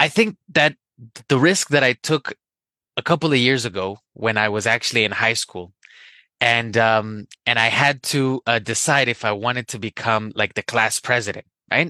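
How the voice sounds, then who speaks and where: With a slight Spanish accent, a man speaks at a moderate pace and medium pitch, his tone bright and sharp with ordinary pitch variation, captured as a dry, close sound with no echo against a quiet background. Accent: barely any Spanish accent in English. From Colombia. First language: Spanish (speaking Chinese). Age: young. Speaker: Spanish teacher. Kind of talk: personal anecdote. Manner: hesitant, with fillers.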